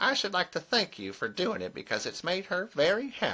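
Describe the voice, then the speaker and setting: A put-on character voice at a middle pitch and a moderate pace. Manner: curiously monotonous.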